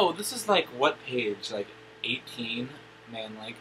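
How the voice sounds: The speaker reads in a natural reading voice.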